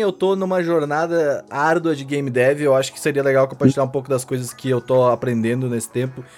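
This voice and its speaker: With an unremarkable speaking voice, a man talks in a fairly high pitch and hardly pauses at all. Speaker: podcast host. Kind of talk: casual chat.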